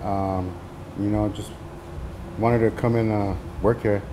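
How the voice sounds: The pace is moderate. A man's tone comes through dark and mellow.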